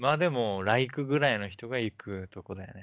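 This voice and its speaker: This man talks at a moderate pace. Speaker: podcast co-host. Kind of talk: casual chat. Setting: online call. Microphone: packet loss on the line.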